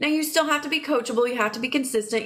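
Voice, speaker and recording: A woman with an American accent sounds animated, her voice high-pitched. Her intonation is lively. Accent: regional accent, family teases her. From Oklahoma. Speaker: online business coach. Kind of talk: live stream sales pitch. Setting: live stream while travelling.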